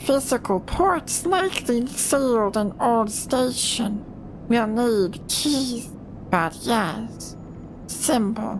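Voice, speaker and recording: Over loud background noise, a put-on character voice with a fairly high pitch moves at a very slow pace. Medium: game stream. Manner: clipped, broken telegraphic speech.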